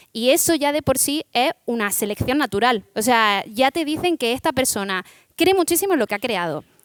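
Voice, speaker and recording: With an Andalusian accent, a woman speaks at a moderate pace in a high pitch with very wide pitch swings, her voice dry and close with no echo on a very clean recording with a silent background. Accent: Almerían Spanish. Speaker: startup founder. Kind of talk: panel discussion.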